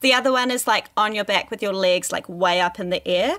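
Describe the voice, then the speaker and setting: With an unremarkable speaking voice, a woman of medium pitch talks at a fairly quick pace with ordinary pitch variation. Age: 30s. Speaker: sex educator and podcast host. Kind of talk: casual chat.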